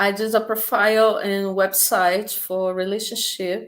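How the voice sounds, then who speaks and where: A woman speaks in a Portuguese accent at a medium pitch. Her intonation stays fairly even. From Brazil, Rio de Janeiro. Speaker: language teacher. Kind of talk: interview. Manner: halting, repeated words.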